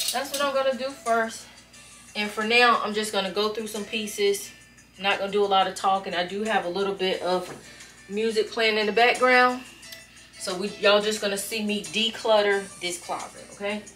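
Music plays in the background as a woman speaks at a moderate pace with fairly even intonation. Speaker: vlogger decluttering her closet. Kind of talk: casual vlog chat. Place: home room.

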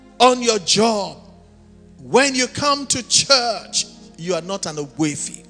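Over faint background music, a man projects a raised voice at a fairly slow pace. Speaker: preacher. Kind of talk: sermon. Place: church. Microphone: handheld.

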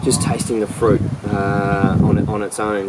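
A man speaks over noticeable background noise. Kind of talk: wine tasting commentary. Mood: pleased, relaxed. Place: garden.

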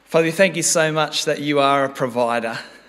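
Fairly even intonation runs through this man's speech. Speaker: preacher. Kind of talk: sermon. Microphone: podium.

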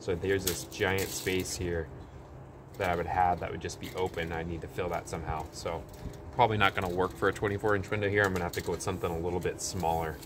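Over noticeable background noise, a man with a very deep, low pitch speaks at a very fast pace with fairly even intonation. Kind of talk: tutorial. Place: garden.

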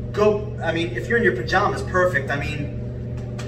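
A man talks at a moderate speed while noticeable background noise carries on. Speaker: fitness instructor. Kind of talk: workout tutorial. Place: home room. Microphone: camera far.

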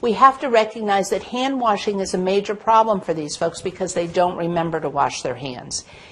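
Her voice at a medium pitch, a woman speaks with lively intonation and a slightly mellow tone.

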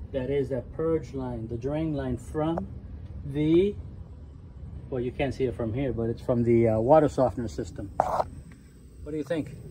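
The speaker has lively intonation and a fairly slow pace. Noticeable background noise runs underneath. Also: man. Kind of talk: casual walkthrough commentary. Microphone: phone near.

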